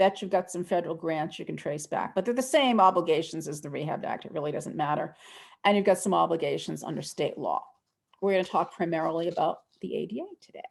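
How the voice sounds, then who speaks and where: This woman speaks very fast at a fairly low pitch with an American accent. Her pitch varies in an ordinary way, with vocal fry and big swings in loudness. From US East Coast. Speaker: accessibility law trainer. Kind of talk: webinar lecture.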